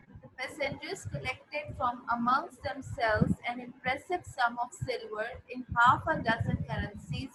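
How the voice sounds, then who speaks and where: A woman speaks loudly at a high pitch. Her pace is fairly slow, and her pitch varies in an ordinary way. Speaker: school teacher. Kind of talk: lecture.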